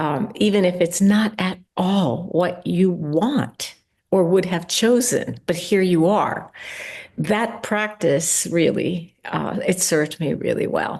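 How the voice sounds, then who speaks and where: At a very slow pace, a woman speaks at a medium pitch with vocal fry and ordinary pitch variation. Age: 70s. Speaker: meditation teacher. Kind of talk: interview.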